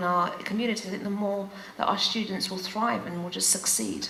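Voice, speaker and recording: A speaker with a London accent uses ordinary pitch variation, with audible room echo and noticeable background noise. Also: woman. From England, UK, Greek Cypriot family. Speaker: teacher. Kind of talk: panel conversation. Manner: halting, many fillers.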